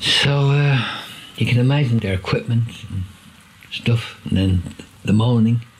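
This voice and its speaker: A man speaks fairly slowly, pausing often and at length, as noticeable background noise carries on. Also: medium pitch for a man, ordinary pitch variation. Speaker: army veteran. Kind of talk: personal testimony and video call conversation. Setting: video call. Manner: halting.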